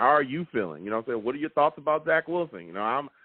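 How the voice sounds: At a fast pace, a man speaks at medium pitch with lively intonation and a slightly husky edge, in a dry, close sound with no echo.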